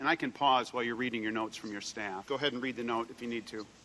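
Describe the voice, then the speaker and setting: A man talks at a very fast pace with a bright, sharp tone. The recording is very clean, with a silent background. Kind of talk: formal hearing questioning.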